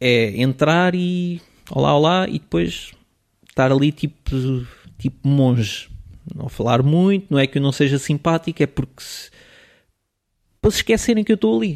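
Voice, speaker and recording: A fairly high-pitched man, fairly quick with lively intonation and long, frequent pauses, in a very clean, dry, close recording with a silent background and no echo. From Portugal, raised partly in Switzerland until age 10. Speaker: photographer. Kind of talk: casual interview.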